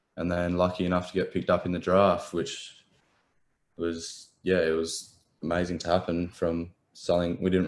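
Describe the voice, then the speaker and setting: A man with an Australian accent talks in a very deep, low voice at a moderate pace. His intonation is flat and monotone on a very clean recording with a silent background. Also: long, frequent pauses. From Adelaide, South Australia. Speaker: professional footballer. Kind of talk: interview. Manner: halting, many ums.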